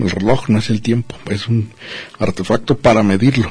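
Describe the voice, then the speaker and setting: A man's fairly low-pitched voice at a moderate pace, an ordinary speaking voice with fairly even intonation. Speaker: radio host. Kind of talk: casual chat.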